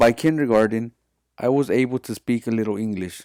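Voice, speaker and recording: Very clean, with a silent background and a dry, close sound free of echo, the recording captures a man with a Spanish accent. He uses a medium pitch, fairly even intonation and a moderate pace. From US (Mexican-born, raised in US from age three). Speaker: student. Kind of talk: class presentation, read from script.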